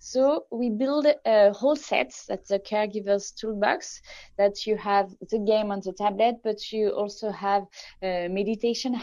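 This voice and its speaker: Speaking in a French accent, a woman has a fairly high pitch. She goes at a fairly slow pace with ordinary pitch variation. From France. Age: 30s. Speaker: tech company founder. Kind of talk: interview.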